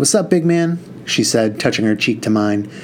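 Lively intonation in a natural reading voice

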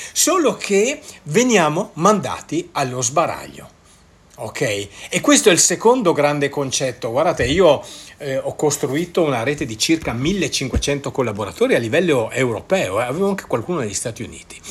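A man speaks somewhat breathily at a fairly high pitch. His pitch swings very widely. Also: moderate pace. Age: 60s. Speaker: network marketer and podcaster. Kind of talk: solo podcast monologue. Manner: hesitant, stumbling over words.

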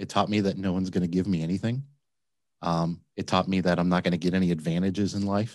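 Someone with an American accent talks at a very fast pace, the intonation fairly even. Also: man, very deep, low pitch for a man, very clean recording, silent background. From Flint, Michigan. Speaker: laundromat owner. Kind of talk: interview.

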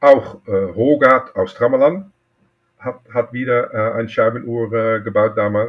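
With a Dutch accent, a man of medium pitch talks at a very slow pace. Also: ordinary pitch variation. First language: Dutch (speaking German). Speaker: watchmaker and collector. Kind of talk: interview. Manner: halting.

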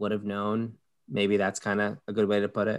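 A man with an American accent speaks at a moderate pace in a fairly low pitch. It is an ordinary speaking voice on a very clean recording with a silent background. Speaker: podcast host.

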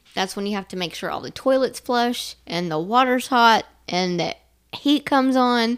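A woman speaks at a moderate pace with a fairly high pitch and ordinary pitch variation. The recording is very clean, with a silent background. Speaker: co-host in recovery. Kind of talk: casual podcast conversation. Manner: loud.

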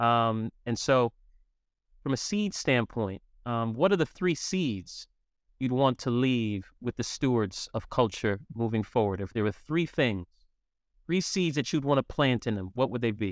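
In a dry, close sound with no echo, a man with a plain, everyday voice speaks at a fairly slow pace and medium pitch with lively intonation. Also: very clean recording, silent background. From New York City. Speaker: podcast host. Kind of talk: interview.

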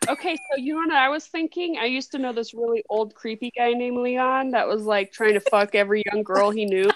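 A woman talks at a fairly quick pace in a high pitch, with hardly any pauses. Noticeable background noise runs underneath. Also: lively intonation. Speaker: book club podcast host. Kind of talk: casual chat. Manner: animated. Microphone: laptop microphone, sounds muffled.

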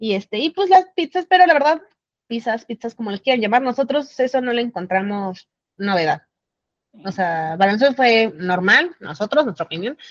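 A woman speaks with a Mexican accent at a fairly high pitch, her voice swinging very widely in pitch. Her pace is moderate, and the sound is dry and close with no echo. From Mexico City. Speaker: traveler sharing trip experience. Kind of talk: casual chat.

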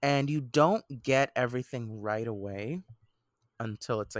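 A man talks at a medium pitch, and the sound is dry and close, without any echo. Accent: Puerto Rican. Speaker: podcast co-host. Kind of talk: casual chat.

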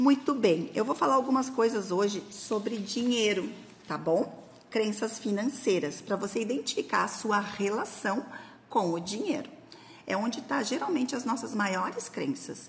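A woman at a moderate pace uses a normal speaking voice, her intonation lively and her pitch fairly high. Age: 40s. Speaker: productivity and finance coach. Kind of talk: instructional talk. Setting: recorded video for social media. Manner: casual, conversational.

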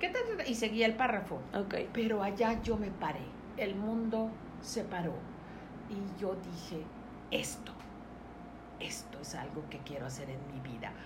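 Noticeable background noise and audible room echo fill the recording. A woman of medium pitch speaks fairly slowly with lively intonation and long, frequent pauses. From Mexico, Mérida, Yucatán. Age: 60s. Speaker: entrepreneur and business coach. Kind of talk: interview.

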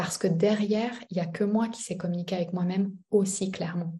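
A woman speaks with a dark, mellow tone at a medium pitch. Her voice is somewhat breathy, with fairly even intonation. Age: 30s. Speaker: business coach. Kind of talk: casual chat.

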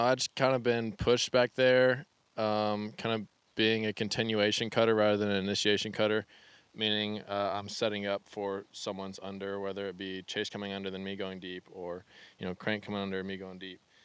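A man with an American accent speaks in a normal speaking voice, fairly low in pitch, at a moderate pace with fairly even intonation. The sound is dry and close with no echo, and the recording is very clean with a silent background. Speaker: ultimate frisbee player. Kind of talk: casual chat.

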